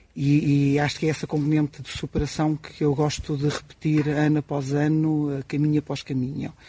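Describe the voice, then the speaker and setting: Through noticeable background noise, a man speaks at a moderate pace with hardly any pauses, a fairly high pitch, monotone, flat intonation and very even loudness. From Portugal, Marinha Grande. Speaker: experienced pilgrim. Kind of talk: live radio interview.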